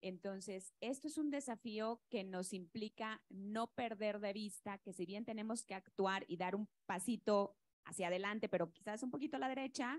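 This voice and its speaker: A woman with a Yucatecan accent speaks at a medium pitch and a moderate pace, with ordinary pitch variation, hardly any pauses, and a dry, close sound with no echo. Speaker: state environment secretary. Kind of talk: panel discussion.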